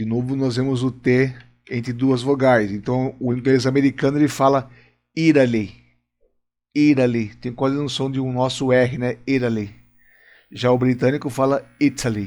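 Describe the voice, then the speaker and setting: A man with a Brazilian accent speaks at a moderate pace in a flat monotone, leaving long, frequent pauses. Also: medium pitch for a man. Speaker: English teacher. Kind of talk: lesson. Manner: explanatory, informal.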